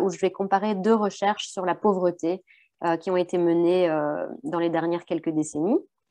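At a moderate pace, a woman talks over a quiet background. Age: young. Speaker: researcher. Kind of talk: academic presentation. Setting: video call. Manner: hesitant, many fillers and repetitions. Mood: modest, slightly hesitant. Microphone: webcam.

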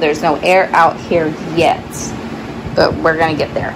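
Noticeable background noise sits behind this woman's voice. She speaks at a fairly low pitch and a moderate pace. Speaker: thrift reseller. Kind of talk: casual vlog chat. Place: garage. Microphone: phone near.

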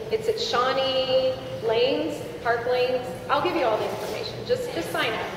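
A woman with a high pitch and very wide pitch swings talks at a moderate pace amid noticeable background noise and audible room echo. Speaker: charity representative. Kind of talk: announcement. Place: hall.

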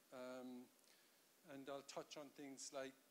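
Light background noise sits behind a man talking at a moderate pace. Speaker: conference keynote speaker. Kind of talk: lecture. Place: hall. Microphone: handheld.

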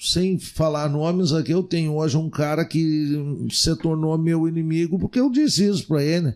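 A man with a dark, mellow tone speaks at a fairly high pitch, with ordinary pitch variation, very even loudness and hardly any pauses. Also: quiet background. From Rio Grande do Sul, Brazil. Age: 50s. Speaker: city councillor. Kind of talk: casual interview. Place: studio. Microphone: studio mic.

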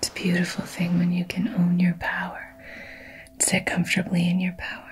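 A soft-spoken woman at a fairly low pitch, in a calm, soothing tone with monotone, flat intonation and light background noise. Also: moderate pace. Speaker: wellness or spiritual coach. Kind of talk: calm motivational talk. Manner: soft-spoken, calm, soothing ASMR voice. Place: home room.

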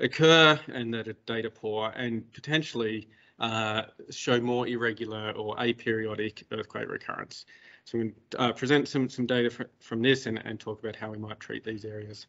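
At a moderate pace and with fairly even intonation, a man speaks against a quiet background. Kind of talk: lecture.

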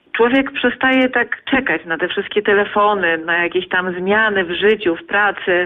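A woman's medium-pitched voice with ordinary pitch variation, a moderate pace and hardly any pauses, over noticeable background noise. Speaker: stork webcam chat fan. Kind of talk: casual radio interview.

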